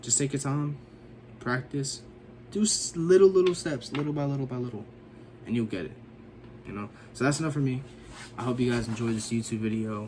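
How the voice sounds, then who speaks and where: A man's medium-pitched speech with ordinary pitch variation, broken by long, frequent pauses. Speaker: action figure customizer, YouTuber. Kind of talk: casual tutorial vlog. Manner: casual, filler-heavy.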